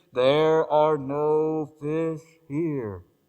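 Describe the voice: A booming put-on character voice from a man, with fairly even intonation. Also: fairly high pitch for a man.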